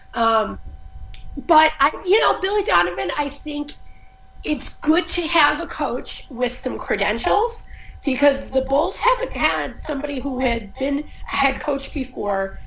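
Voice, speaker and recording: A woman's high voice at a fairly slow pace, with very wide pitch swings and music in the background. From US Midwest, Chicago suburbs. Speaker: sports journalist. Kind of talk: casual chat.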